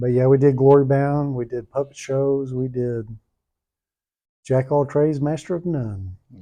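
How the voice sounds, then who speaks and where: A man's medium-pitched voice, dark and mellow in tone, fairly even in intonation, at a moderate pace with long, frequent pauses. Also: quiet background. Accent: Southern US. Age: 60s. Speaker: pastor. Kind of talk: interview.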